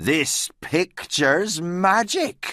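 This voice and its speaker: This put-on character voice sits at a middle pitch. The recording is very clean, with a silent background. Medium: read story.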